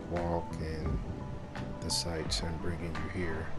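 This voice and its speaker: Loud music plays in the background. Over it, a man speaks at a fairly slow pace. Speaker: travel vlogger. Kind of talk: casual vlog chat. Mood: relaxed, pleased. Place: street. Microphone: phone near.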